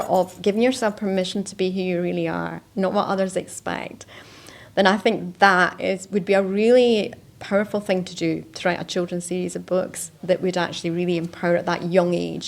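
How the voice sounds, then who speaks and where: Here a woman talks in a normal speaking voice at a moderate pace and with fairly even intonation, on a very clean recording with a silent background. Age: 60s. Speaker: life coach. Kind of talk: interview.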